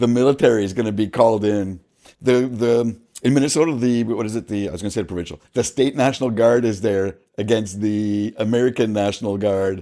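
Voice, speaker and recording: A man speaks at a medium pitch and a fairly quick pace with a Canadian accent. His tone is dark and mellow, with ordinary pitch variation. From Canada. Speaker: political commentator. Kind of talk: reaction commentary. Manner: fast; halting.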